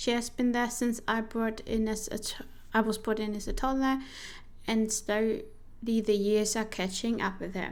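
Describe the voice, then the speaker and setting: In a room with audible echo, a woman with a non-native accent speaks at a fairly high pitch in a monotone, flat intonation. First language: not English. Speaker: vtuber streamer playing a solo journaling RPG. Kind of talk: game playthrough narration, reading her journal entries. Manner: casual, halting with self-corrections.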